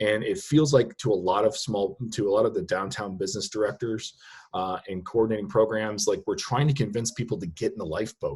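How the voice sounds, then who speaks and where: Somewhat breathy, a man speaks at a fairly quick pace with lively intonation. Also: medium pitch for a man. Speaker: small business consultant. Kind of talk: webinar presentation. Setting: online webinar. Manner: fast.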